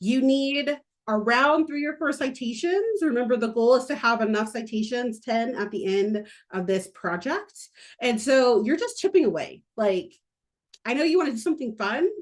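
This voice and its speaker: The voice sounds animated, with lively intonation over a quiet background. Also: woman, high pitch for a woman, moderate pace. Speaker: university instructor. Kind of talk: recorded lecture.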